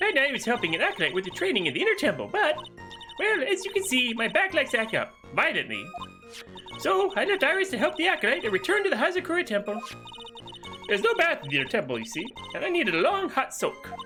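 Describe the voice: A woman's high-pitched, put-on character voice with very wide pitch swings, a very fast pace and long, frequent pauses, over clear music in the background.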